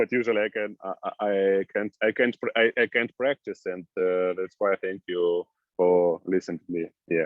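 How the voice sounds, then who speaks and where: A man with an Eastern European accent, fairly low in pitch, at a moderate pace with fairly even intonation. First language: Russian or Ukrainian. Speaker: new immigrant. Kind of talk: group discussion. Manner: halting.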